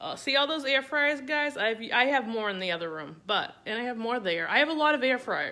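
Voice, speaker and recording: In a Boston accent, a woman speaks with a bright, sharp, high voice. Her pitch swings very widely. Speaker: cooking content creator. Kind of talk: live stream cooking demo. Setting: home kitchen, Facebook Live. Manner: casual, chatty.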